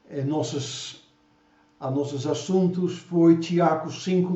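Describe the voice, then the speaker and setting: A man speaks with fairly even intonation. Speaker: preacher. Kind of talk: sermon. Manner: halting.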